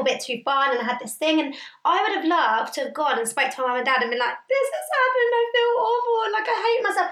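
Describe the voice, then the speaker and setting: Audible room echo surrounds a woman's bright, sharp voice as she talks very fast with hardly any pauses and very wide pitch swings. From Indian heritage. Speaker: podcast co-host. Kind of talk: casual chat.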